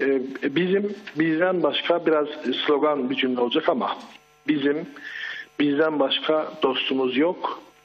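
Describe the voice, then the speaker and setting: At a fairly slow pace with long, frequent pauses, a man with a fairly high pitch speaks with ordinary pitch variation and very even loudness amid noticeable background noise. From Turkey, Çorum province. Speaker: eyewitness caller. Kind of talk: live phone-in testimony. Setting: phone call.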